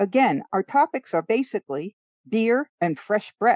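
With a Rhode Island accent, a woman speaks at a fairly slow pace in a fairly high pitch with very wide pitch swings. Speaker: co-host of writing show. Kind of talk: casual workshop chat.

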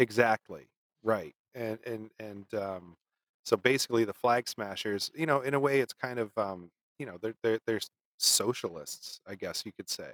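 A man with an unremarkable speaking voice speaks at medium pitch and a moderate pace, with ordinary pitch variation. His loudness swings widely, and the sound is dry and close with no echo. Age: 30s. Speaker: podcast co-host. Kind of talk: casual chat.

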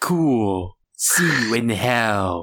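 A put-on character voice, raspy and full of lively intonation. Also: man.

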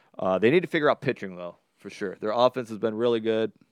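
With an American accent and an ordinary speaking voice, a man talks at a medium pitch with ordinary pitch variation in a dry, close sound with no echo and a quiet background. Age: 30s. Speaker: podcast host. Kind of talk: casual chat.

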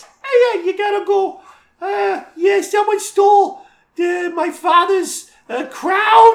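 In a put-on character voice pitched extremely high, the speaker goes very slowly with long, frequent pauses. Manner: silly, exaggerated.

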